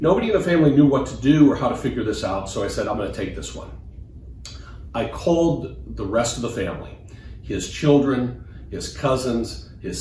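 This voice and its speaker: A man with an American accent at a fairly quick pace, with audible room echo. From US Midwest, Des Moines, Iowa. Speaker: financial advisor. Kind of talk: personal testimony.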